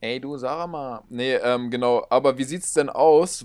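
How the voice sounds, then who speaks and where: On a very clean recording with a silent background, a man speaks in a plain, everyday voice, fairly high in pitch with fairly even intonation. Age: 20s. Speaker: podcast co-host. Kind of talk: casual chat. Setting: in person, same room.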